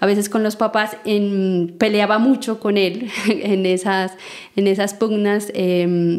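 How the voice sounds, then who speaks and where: A woman speaks with fairly even intonation. Her pitch is medium. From Colombia, Nariño department near Pasto. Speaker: seed network founder and coordinator. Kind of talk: interview. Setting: in person in Nariño, Colombia.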